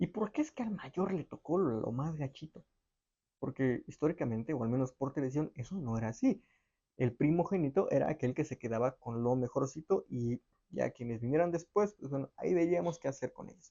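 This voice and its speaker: A man with a fairly high pitch talks at a fairly quick pace with lively intonation. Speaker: history podcast host. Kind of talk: casual explainer monologue. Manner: fast.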